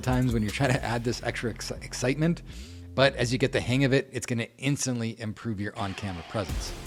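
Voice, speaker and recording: A man with a Canadian accent talks at a very fast pace, with vocal fry in his voice. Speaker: realtor and video marketing coach. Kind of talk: tutorial. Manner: animated, amped up on camera; loud, hand gestures.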